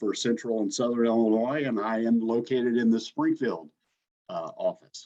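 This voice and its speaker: A man's unremarkable speaking voice, medium in pitch, with fairly even intonation. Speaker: lender relations specialist at a government agency. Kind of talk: webinar presentation.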